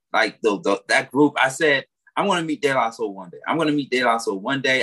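A man speaks at a medium pitch in a bright, sharp tone. The sound is dry and close, with no echo. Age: 30s. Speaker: radio morning show host. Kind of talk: casual radio chat. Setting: radio studio.

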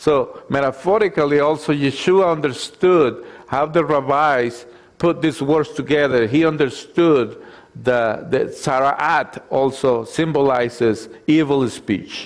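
A man with a non-native accent talks at a fairly slow pace, his pitch fairly high and its variation ordinary. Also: very even loudness. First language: not English. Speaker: messianic congregation preacher and Torah teacher. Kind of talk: sermon. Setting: congregation with slides. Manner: halting, many fillers.

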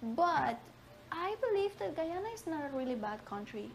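A woman with a Spanish accent, lively intonation and a moderate pace. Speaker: immigrant. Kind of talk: interview.

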